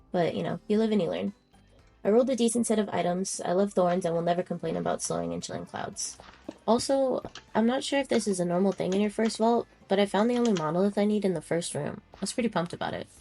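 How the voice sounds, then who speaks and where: Against noticeable background noise, a woman talks very fast at a medium pitch with ordinary pitch variation. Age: 20s. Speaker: gaming video creator. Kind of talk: narrated gameplay voiceover.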